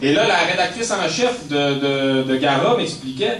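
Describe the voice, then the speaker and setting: A man speaks with a Quebec accent, his pitch fairly high and swinging very widely. Noticeable background noise and audible room echo surround him. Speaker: author and activist. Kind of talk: public talk. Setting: speech to audience in a hall. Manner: halting, many repetitions.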